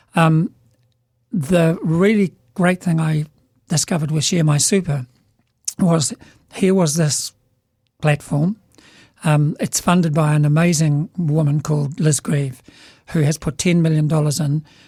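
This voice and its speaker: With a New Zealand accent, a man speaks at a fairly slow pace in a fairly high pitch and a dark, mellow tone, keeping fairly even intonation and long, frequent pauses, in a dry, close sound with no echo. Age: 70s. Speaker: business leader. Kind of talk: casual chat. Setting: studio.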